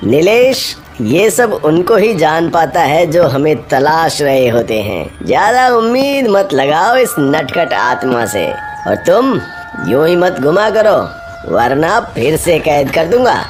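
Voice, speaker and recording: Over clear music in the background, a man puts on a cartoonish character voice at a fairly high pitch and a fairly slow pace. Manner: serious, authoritative.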